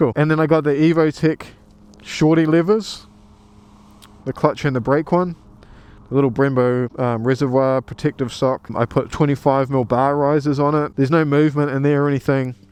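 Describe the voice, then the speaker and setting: A man speaks in a New Zealand accent with a fairly high pitch. His intonation stays fairly even. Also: moderate pace. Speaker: motorcycle vlogger. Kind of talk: casual vlog walkaround. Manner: casual, hesitant with ums.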